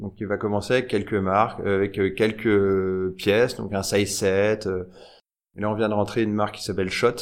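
A man speaks in a plain, everyday voice, fairly low in pitch. His pace is moderate. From France, Nièvre. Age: 30s. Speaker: fashion entrepreneur and tech founder. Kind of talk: casual interview. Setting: showroom.

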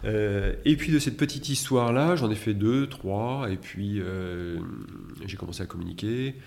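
Using lively intonation, a man with a fairly low pitch speaks at a fairly slow pace. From France, Metz. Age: 50s. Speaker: interior designer. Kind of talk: interview. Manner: halting.

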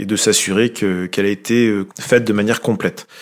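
Monotone, flat intonation at a moderate pace. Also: man. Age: 40s. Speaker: railway maintenance team manager. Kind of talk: interview. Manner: hesitant, repeats words.

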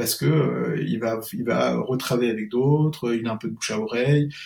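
Somewhat breathy, this man talks with ordinary pitch variation. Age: 40s. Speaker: SEO consultant and freelancer. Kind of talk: casual interview chat. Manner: hesitant, many fillers.

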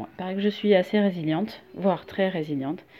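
Moderate pace and ordinary pitch variation from a woman with a medium-pitched voice. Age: 40s. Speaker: listener sharing testimony. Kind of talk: recorded testimony. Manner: halting.

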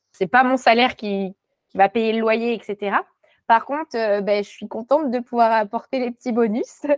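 An unremarkable speaking voice moves at a moderate pace with fairly even intonation and big swings in loudness. The sound is dry and close, with no echo. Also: woman, fairly high pitch for a woman. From Morocco (French parents). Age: young. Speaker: textile designer. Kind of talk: interview.

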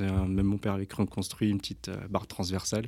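On a very clean recording with a silent background, a man talks at a moderate pace in a fairly low voice. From France, Versailles area. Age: 30s. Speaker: rugby coach and humanitarian association founder. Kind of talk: casual interview. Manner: halting, many hesitations.

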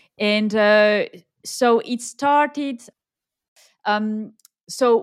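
Spoken with a French accent, the voice shows ordinary pitch variation. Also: woman. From southern France. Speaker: expat working mother. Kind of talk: casual interview.

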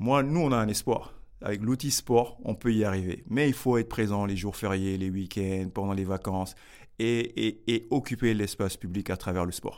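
A man at a moderate pace, fairly low in pitch with ordinary variation, on a very clean recording with a silent background. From Paris region, France (Grigny). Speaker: social entrepreneur, youth academy founder. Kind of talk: interview. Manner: halting, with repetitions.

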